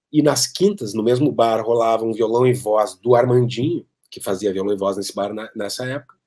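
Over a quiet background, a man with a dark, mellow tone talks at a fairly quick pace, his pitch varying in an ordinary way. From Porto Alegre, southern Brazil; Rio Grande do Sul, Brazil. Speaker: keyboard player. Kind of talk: interview storytelling. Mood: relaxed, reminiscing. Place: home room. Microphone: webcam.

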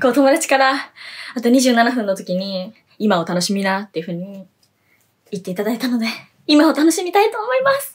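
Making very wide pitch swings in a high voice, a woman talks at a fairly quick pace with long, frequent pauses. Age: 20s. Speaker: idol singer. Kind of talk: solo web radio vlog. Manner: animated. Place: home room. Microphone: phone near.

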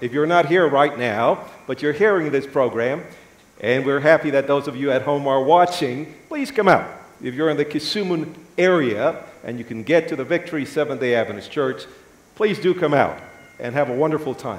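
A man speaks at a moderate pace, his pitch moving in an ordinary way. The room echo is audible. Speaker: guest preacher. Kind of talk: sermon. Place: church. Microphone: lapel.

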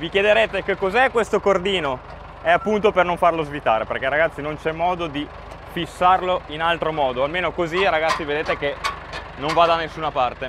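Over noticeable background noise, a man with a high pitch talks at a fairly quick pace, the sound dry with no echo. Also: ordinary pitch variation. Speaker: farmer vlogger. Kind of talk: casual vlog explanation. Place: open country. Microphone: phone near.

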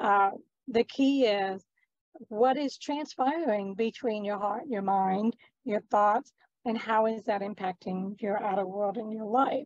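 A woman at a fairly slow pace, dry sound with no echo, quiet background. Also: ordinary pitch variation. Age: 50s. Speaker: entrepreneur and talk show host; talk show host. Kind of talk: interview conversation. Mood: earnest, inspirational. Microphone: video call.

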